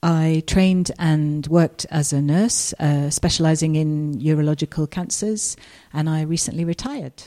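In a southern English accent, a woman speaks at a moderate pace with a very deep, low pitch and a dark, mellow tone. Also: ordinary pitch variation. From southeast England. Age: 50s. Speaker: retired nurse. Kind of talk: interview testimony.

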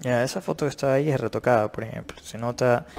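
This man has a plain, everyday voice at a medium pitch. He speaks at a fairly quick pace with ordinary pitch variation. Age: 30s. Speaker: fitness and nutrition youtuber. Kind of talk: video commentary.

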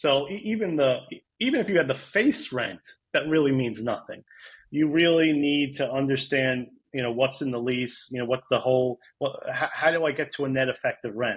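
A man's fairly high-pitched voice in a New York accent, with ordinary pitch variation. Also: moderate pace. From New York, Rockland County. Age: 40s. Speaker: real estate data consultant. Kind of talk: casual interview. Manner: halting.

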